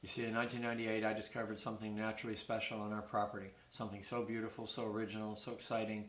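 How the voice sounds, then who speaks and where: With audible room echo, a man with a fairly low pitch speaks at a very fast pace in a monotone, flat intonation. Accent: Maritime Canadian. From Canada, New Brunswick (Burt's Corner, near Fredericton). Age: 60s. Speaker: retired poultry farm worker and amateur stone collector. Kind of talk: prepared appeal read to camera.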